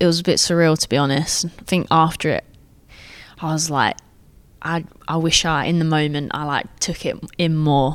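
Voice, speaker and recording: The voice carries an English accent with monotone, flat intonation. Long, frequent pauses break up the speech. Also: woman, very deep, low pitch for a woman, moderate pace. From England. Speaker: professional footballer. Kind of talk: interview. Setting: at club training ground.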